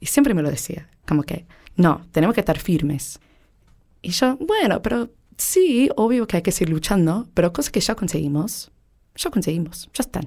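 This woman has an American accent and a medium pitch, with a dark, mellow tone and very wide pitch swings. She talks at a moderate pace on a very clean recording with a silent background. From United States. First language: English (speaking Spanish). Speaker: interviewee. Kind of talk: interview testimony.

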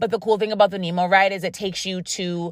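A woman speaks in an animated tone with an American accent. Noticeable background noise runs behind her. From Rochester, New York. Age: 30s. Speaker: podcast host. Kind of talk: casual solo podcast monologue. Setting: in a car. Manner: casual, chatty, animated.

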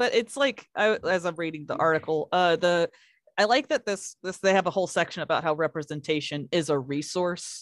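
A woman with an American accent has an ordinary speaking voice, fairly low in pitch, with lively intonation at a moderate pace. The sound is dry and close with no echo, and the recording is very clean with a silent background. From Kentucky, US. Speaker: podcast co-host. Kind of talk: casual chat.

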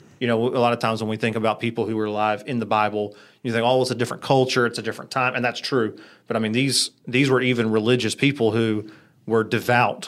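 The speaker talks at a very fast pace with an American accent and a monotone, flat intonation. The recording is very clean, with a silent background. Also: man, medium pitch for a man. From US South, Greensboro, North Carolina. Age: 30s. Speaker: church small group leader. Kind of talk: casual chat.

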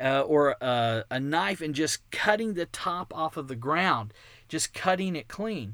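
In a very clean recording with a silent background, a man speaks with a slight Texan accent at a fairly slow pace. His tone is animated, and his pitch swings very wide. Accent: American, slight Texan. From Texas. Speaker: podcast host, creationist ministry founder. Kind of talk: casual monologue.

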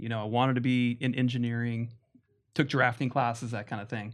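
An unremarkable speaking voice from a man, medium in pitch, at a fairly quick pace. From Las Vegas, US. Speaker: guest, husband. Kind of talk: casual interview chat.

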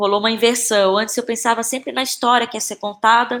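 At a fairly quick pace, a woman speaks in a fairly high pitch with monotone, flat intonation, in a very clean recording with a silent background. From Brazil, Belém (Pará). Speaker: actress and playwright. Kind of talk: interview conversation.

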